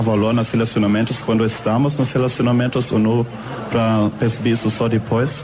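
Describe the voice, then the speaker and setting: A speaker with a non-native accent talks with fairly even intonation, with audible room echo and noticeable background noise. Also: man. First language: not Portuguese (speaking Portuguese). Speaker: audience member. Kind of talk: question from audience. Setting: theater stage with audience. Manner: halting.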